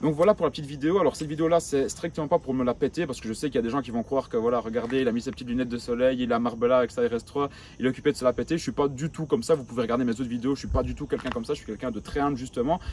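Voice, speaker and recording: Speaking very fast with hardly any pauses, a man holds a medium pitch with ordinary pitch variation. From rural Belgium. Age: 20s. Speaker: entrepreneur youtuber. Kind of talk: vlog monologue. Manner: casual, hesitant fillers.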